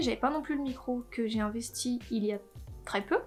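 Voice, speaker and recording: A woman speaks at a fairly quick pace with ordinary pitch variation. Noticeable background noise runs behind her. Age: 20s. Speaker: YouTuber. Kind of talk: casual vlog introduction. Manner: casual, with frequent hesitations.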